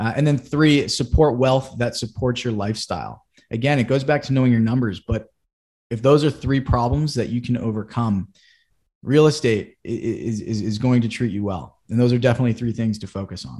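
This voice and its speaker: A man with an American accent, a dark, mellow tone, medium pitch, ordinary pitch variation and a fairly quick pace, against a quiet background. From Massachusetts (Boston area). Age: 20s. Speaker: real estate investor and chief of staff. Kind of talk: casual chat.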